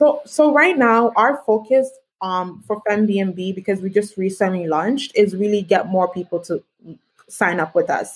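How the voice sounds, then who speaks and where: A woman's unremarkable speaking voice, medium in pitch, at a fairly slow pace with lively intonation. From Canada. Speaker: tech entrepreneur. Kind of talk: interview. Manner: many filler words.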